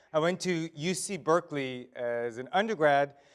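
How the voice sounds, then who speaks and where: Pitch varies in an ordinary way as this man talks. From Israel. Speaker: author and leadership speaker. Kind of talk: keynote presentation. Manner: casual, humorous delivery.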